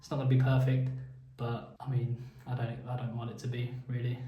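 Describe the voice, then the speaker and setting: In a room with audible echo and noticeable background noise, a man of medium pitch talks in a monotone, flat way. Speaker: vlogger and small business owner. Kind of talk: casual vlog monologue. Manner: halting, many filler words.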